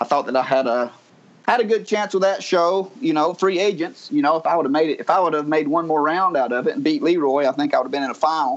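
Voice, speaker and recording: In a strong Southern US accent, a man talks at a fairly high pitch. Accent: strong Southern US drawl. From North Georgia mountains, US South. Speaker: reality TV personality. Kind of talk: casual interview chat. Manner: easygoing, charming, storytelling.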